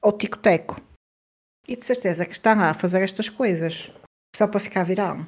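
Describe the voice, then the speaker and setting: Marked by long, frequent pauses, a woman talks in a European Portuguese accent. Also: medium pitch for a woman, ordinary pitch variation, moderate pace. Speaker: podcast co-host. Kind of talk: casual chat.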